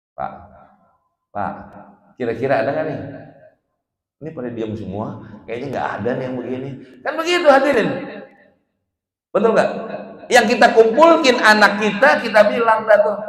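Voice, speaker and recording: A man's high, animated voice at a moderate pace, with very wide pitch swings, big swings in loudness, long and frequent pauses, and audible room echo. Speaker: Islamic preacher. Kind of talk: religious lecture to congregation. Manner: animated, colloquial.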